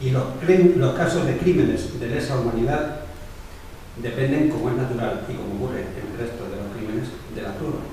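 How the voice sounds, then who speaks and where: A man with ordinary pitch variation, in strong room echo over light background noise. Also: moderate pace. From Spain. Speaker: documentary maker, victims' advocate. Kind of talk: prepared speech. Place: meeting room.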